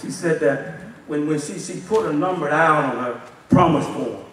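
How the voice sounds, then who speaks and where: A man speaks with fairly even intonation. Light background noise and audible room echo are present. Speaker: assistant pastor. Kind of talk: sermon. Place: church. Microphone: podium.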